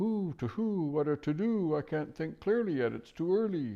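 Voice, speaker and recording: The pitch is fairly high. A man is doing a put-on character voice. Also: moderate pace. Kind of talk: fretful, hesitant. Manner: muttering, flustered.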